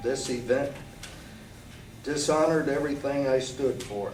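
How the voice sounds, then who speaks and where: Fairly high-pitched for a man, he speaks with an American accent at a moderate pace and with fairly even intonation, amid audible room echo and noticeable background noise. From Michigan, US Midwest. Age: 60s. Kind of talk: prepared statement / testimony. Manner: formal, read-out statement with some stumbles.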